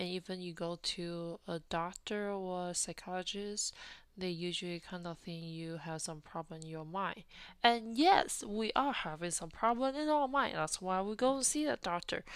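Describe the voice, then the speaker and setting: Woman with a Taiwanese accent, medium pitch, lively intonation, and moderate pace, in a very clean recording with a silent background. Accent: Taiwanese Mandarin-accented English. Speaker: podcast host. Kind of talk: personal storytelling monologue. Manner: halting, with frequent fillers.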